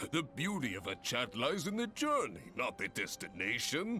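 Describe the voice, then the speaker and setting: A man puts on a booming character voice with very wide pitch swings. He keeps a moderate pace while music plays clearly in the background. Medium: cartoon. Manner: long-winded, booming, theatrical.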